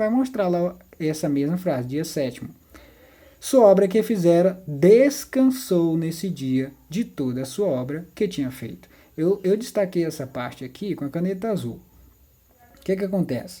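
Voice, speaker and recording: A woman's fairly low, dark, mellow voice at a moderate pace, with very wide pitch swings. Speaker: Bible teacher. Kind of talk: tutorial.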